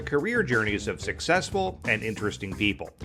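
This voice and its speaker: A man talks fairly quickly. There's music behind his voice. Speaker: podcast host. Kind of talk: podcast intro and interview questions.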